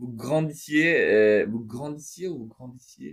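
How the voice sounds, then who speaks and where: Speaking at a very slow pace, a man has a non-native accent. His pitch is fairly high with ordinary pitch variation. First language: not French (speaking French). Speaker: religious speaker. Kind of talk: spoken reflection monologue. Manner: halting, many hesitations.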